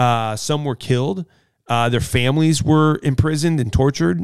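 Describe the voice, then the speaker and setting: On a very clean recording with a silent background, a man with an ordinary speaking voice and an American accent talks at a moderate pace, with a medium pitch and ordinary pitch variation. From US Midwest. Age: 40s. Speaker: pastor. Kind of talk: casual chat.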